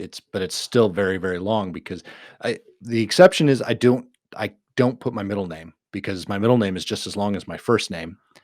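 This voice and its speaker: An unremarkable speaking voice with an American accent talks at a fairly quick pace with ordinary pitch variation, in a very clean, dry, close recording with no echo and a silent background. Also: man. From Minnesota. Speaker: podcast co-host. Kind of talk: casual chat.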